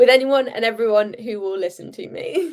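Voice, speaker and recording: A woman with a British accent, very wide pitch swings and a moderate pace. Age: young. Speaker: handball player. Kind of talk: interview.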